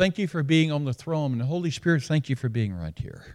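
A man with an American accent and a fairly high pitch talks at a very fast pace with ordinary pitch variation. The recording is very clean with a silent background and has a dry, close sound with no echo. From Alabama. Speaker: retired pastor, guest preacher. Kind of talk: sermon. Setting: church worship service.

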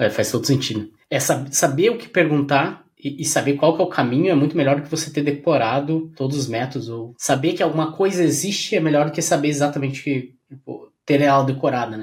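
This man talks at a fairly quick pace with hardly any pauses. His fairly high, somewhat breathy voice has ordinary pitch variation. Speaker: podcast host and career mentor. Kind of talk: casual interview chat.

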